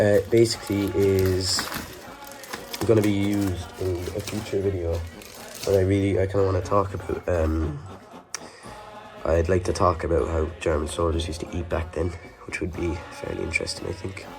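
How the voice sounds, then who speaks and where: The speaker talks with an Irish accent in a monotone, flat intonation, leaving long, frequent pauses. Music plays in the background. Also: man, very deep, low pitch for a man, moderate pace. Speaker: WW2 re-enactor and collector. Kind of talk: casual talk to camera.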